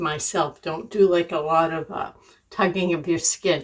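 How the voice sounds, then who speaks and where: A woman moves at a fairly slow pace, and her pitch varies in an ordinary way. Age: 60s. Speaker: beauty and lifestyle vlogger. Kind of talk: get ready with me vlog chat. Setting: home kitchen. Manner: casual, conversational.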